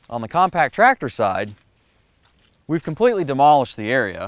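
A man talks at a moderate pace. The sound is dry, with no echo. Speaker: presenter. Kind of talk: product demonstration commentary. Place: garden.

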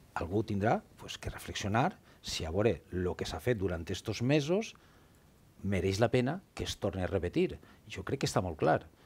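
A man in a Valencian accent, somewhat breathy and fairly low-pitched, with lively intonation at a moderate pace. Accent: Valencian Catalan. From Valencia region. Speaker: politician. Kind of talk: heated debate; debate argument. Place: studio. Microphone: headset.

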